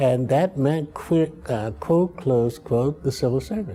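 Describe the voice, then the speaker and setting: He is a man with an American accent. His pitch sits at a medium level. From Chicago, US Midwest. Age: 80s+. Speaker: political science professor. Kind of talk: interview. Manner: halting.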